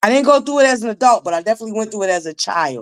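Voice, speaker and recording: A woman speaks with lively intonation and an animated tone, the sound dry and close with no echo. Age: 40s. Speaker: YouTube commentary livestreamer. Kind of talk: livestream commentary chat.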